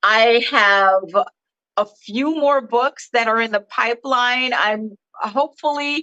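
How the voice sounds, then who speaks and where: A woman speaks at a very slow pace in a fairly high, bright and sharp voice. Her intonation stays fairly even. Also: dry, close sound with no echo. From Jamaica, Saint Thomas. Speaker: children's book author. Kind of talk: interview.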